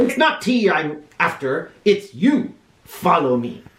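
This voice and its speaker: A put-on character voice, fairly high in pitch, with very wide pitch swings and a fairly slow pace. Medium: read story. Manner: gruff, curt.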